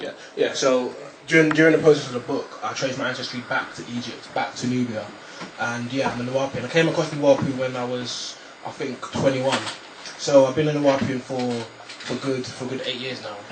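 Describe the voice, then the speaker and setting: A man's medium-pitched voice at a fairly quick pace, with fairly even intonation, big swings in loudness, noticeable background noise and audible room echo. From Nigeria. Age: 20s. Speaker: author. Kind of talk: radio interview. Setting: radio studio. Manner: halting, repeats words.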